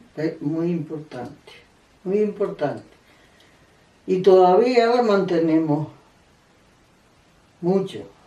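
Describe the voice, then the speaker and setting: With a dark, mellow tone and ordinary pitch variation, the speaker goes at a very slow pace with long, frequent pauses. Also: woman, fairly low pitch for a woman. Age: 80s+. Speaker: elderly interviewee sharing memories. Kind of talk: oral history interview. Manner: halting, with repetitions.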